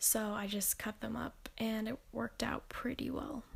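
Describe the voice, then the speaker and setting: This woman's voice is fairly high in pitch and somewhat breathy. She talks at a fairly slow pace with monotone, flat intonation. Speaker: planner vlogger, college student. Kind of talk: voiceover narration of crafting video. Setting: bedroom in apartment. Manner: casual with fillers.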